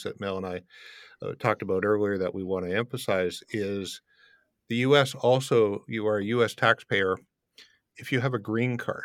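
On a very clean recording with a silent background, a man with a Canadian accent has an ordinary speaking voice, a fairly low pitch, ordinary pitch variation and a moderate pace. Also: dry, close sound with no echo. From Canada, Windsor, Ontario. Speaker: international tax and immigration advisor. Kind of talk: interview.

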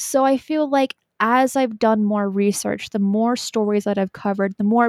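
In an unremarkable speaking voice, a woman talks at a fairly high pitch with ordinary pitch variation, the sound dry and close with no echo on a very clean recording with a silent background. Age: 20s. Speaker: YouTube host on paranormal topics. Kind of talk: casual chat.

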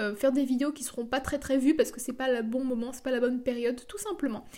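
At a fairly quick pace, a woman speaks in a high pitch with fairly even intonation. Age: 20s. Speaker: podcaster and online entrepreneur. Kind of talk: solo podcast monologue.

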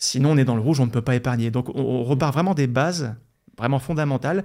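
A man with a plain, everyday voice and ordinary pitch variation on a very clean recording with a silent background. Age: 40s. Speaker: investment blogger and author. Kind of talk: interview.

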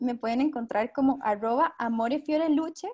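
A woman speaks in a high pitch with ordinary pitch variation. Her pace is fairly quick. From Costa Rica. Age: 20s. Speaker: minimalism podcaster. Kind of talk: casual chat.

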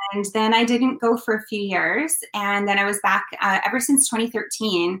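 In a Canadian accent, a woman speaks at a moderate pace with a bright, sharp tone. Her pitch is medium, with ordinary variation. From British Columbia, Canada. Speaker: country singer-songwriter. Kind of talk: casual interview chat. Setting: video call from home.

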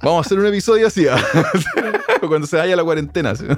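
A man with a Chilean accent speaks with lively intonation over noticeable background noise. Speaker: podcast host, sound engineer. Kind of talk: casual chat.

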